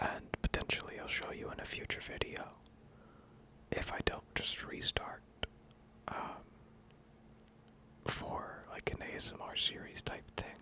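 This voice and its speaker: Whispering at a fairly slow pace with long, frequent pauses, a man is heard over noticeable background noise. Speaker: ASMR content creator. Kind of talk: ASMR lore reading, casual chatty asides. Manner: soft-spoken, relaxed, slow.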